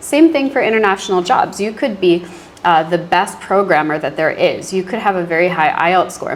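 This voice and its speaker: A woman with an American accent talks at a fairly quick pace with ordinary pitch variation over noticeable background noise. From US, Virginia near Washington DC. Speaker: university English teacher. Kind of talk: interview. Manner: casual, many fillers.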